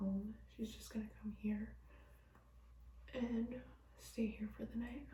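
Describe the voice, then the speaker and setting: Whispering at a fairly slow pace with long, frequent pauses, a woman is heard through audible room echo and noticeable background noise. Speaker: vlogger. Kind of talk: casual vlog talk to camera. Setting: friend's bathroom.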